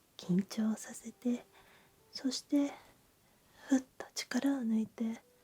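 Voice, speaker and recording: The voice moves at a very slow pace with a calm, gentle tone and long, frequent pauses. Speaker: clinic doctor or therapist in a roleplay guiding relaxation. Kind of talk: sleep clinic roleplay ASMR, guided progressive muscle relaxation. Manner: calm, gentle, slow, soothing.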